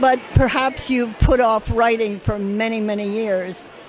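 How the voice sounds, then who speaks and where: Over noticeable background noise, a woman speaks at a fairly high pitch and fairly slow pace with ordinary pitch variation. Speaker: performance poet. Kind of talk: interview answer.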